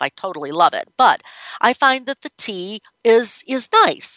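A woman with a bright, sharp tone swings very widely in pitch, recorded dry and close with no echo. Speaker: radio show host on breastfeeding. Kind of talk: solo talk radio monologue. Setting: studio.

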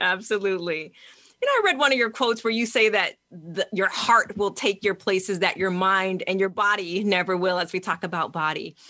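A woman speaks at a fairly quick pace with an American accent. Her pitch sits in the medium range, and her loudness stays very even. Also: ordinary pitch variation. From New York, US. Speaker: psychotherapist and radio host. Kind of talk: interview.

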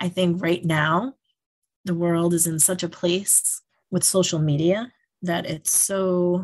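Against a quiet background, a woman with an American accent speaks at a fairly low pitch, somewhat breathy, with fairly even intonation. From New York, Yonkers. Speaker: school principal. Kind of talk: interview.

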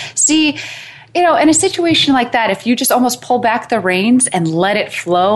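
Here a woman talks at a moderate pace. Her pitch swings very widely. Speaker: matchmaker and dating coach. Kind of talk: casual interview chat. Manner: rambling, filler-heavy.

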